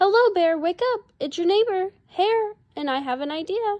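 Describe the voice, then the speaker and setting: A woman uses a put-on character voice that is squeaky and extremely high. She speaks at a moderate pace. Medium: read story. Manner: smooth, persuasive.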